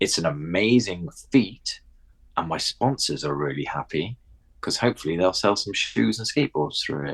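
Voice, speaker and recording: A man with a very deep, low pitch, very wide pitch swings, a southern English accent and a moderate pace. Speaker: skateboarding media presenter. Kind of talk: casual chat. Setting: in a house.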